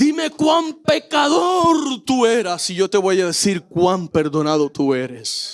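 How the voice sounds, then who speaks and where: Shouting in a Puerto Rican accent, a man speaks at a high pitch with very wide pitch swings. His pace is very slow, with hardly any pauses. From Puerto Rico. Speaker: pastor. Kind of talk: sermon.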